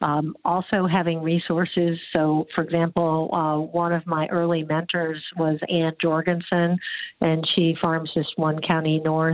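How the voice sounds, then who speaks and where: Against noticeable background noise, a woman with an American accent and a fairly low voice speaks at a fairly slow pace in a flat monotone, keeping her loudness very even. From US Midwest, eastern Iowa. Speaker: agricultural journalist and company founder. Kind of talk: interview.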